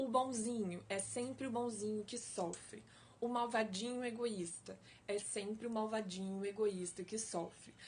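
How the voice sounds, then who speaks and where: Fairly even intonation from a woman with a fairly high voice, at a fairly slow pace. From Brazil, Espírito Santo. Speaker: life coach / online educator. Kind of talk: live-stream talk to viewers. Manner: slow, deliberate; engaging, conversational.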